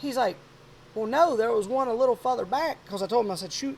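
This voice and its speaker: This man has a Louisiana accent and an extremely high pitch. His tone is animated, with very wide pitch swings. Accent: Louisiana Southern US. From South Louisiana. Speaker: podcast host, hunter. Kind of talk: casual chat.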